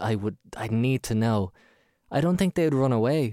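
Lively intonation marks this man's medium-pitched voice with an Irish accent and a dark, mellow tone, recorded dry and close with no echo. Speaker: podcast host. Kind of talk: casual chat. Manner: animated.

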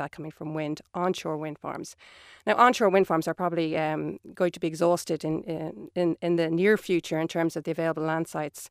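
Speaking at a fairly quick pace with fairly even intonation, the voice has an Irish accent and a dry, close sound with no echo in a very clean recording with a silent background. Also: woman. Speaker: energy scenario planner. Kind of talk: radio panel discussion. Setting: studio.

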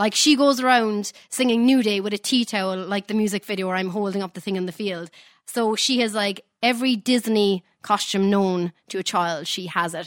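A woman's unremarkable speaking voice, medium in pitch with ordinary pitch variation, at a moderate pace with hardly any pauses, dry and close with no echo on a very clean recording with a silent background. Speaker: singer. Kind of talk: casual radio interview.

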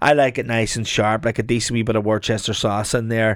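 A man with an Irish midlands accent speaks at a moderate pace on a very clean recording with a silent background. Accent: Irish midlands (Longford). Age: 40s. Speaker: chef. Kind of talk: casual chat.

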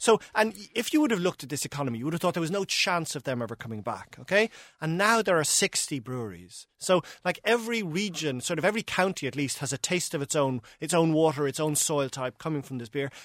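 Recorded very cleanly against a silent background with a dry, close sound and no echo, a man with an Irish accent speaks very fast in a fairly high voice. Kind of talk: casual chat.

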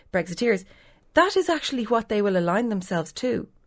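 A woman with an Irish accent uses lively intonation in a very clean recording with a silent background. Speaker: political editor. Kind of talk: newspaper panel discussion.

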